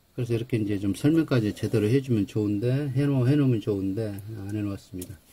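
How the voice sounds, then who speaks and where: This man talks at a very fast pace. His tone is dark and mellow, and somewhat breathy. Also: fairly low pitch for a man, ordinary pitch variation. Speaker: English grammar teacher. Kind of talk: lecture. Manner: halting, self-described awkward speech.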